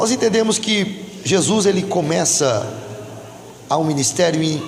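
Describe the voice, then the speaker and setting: A man's high voice with very wide pitch swings at a fairly slow pace, with audible room echo and noticeable background noise. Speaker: pastor. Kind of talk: sermon. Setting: church. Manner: loud.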